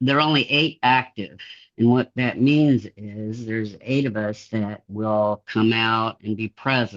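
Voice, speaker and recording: This man has a normal speaking voice and talks at a fairly slow pace. The sound is dry and close with no echo, over a quiet background. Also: medium pitch for a man, ordinary pitch variation. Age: 60s. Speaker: interviewee with dissociative identity disorder. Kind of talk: interview.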